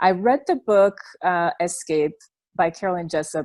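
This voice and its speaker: With a French accent, a woman speaks at a moderate pace in a fairly low pitch, the sound dry and close with no echo on a very clean recording with a silent background. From Belgium. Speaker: former church member sharing her story. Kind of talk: interview testimony.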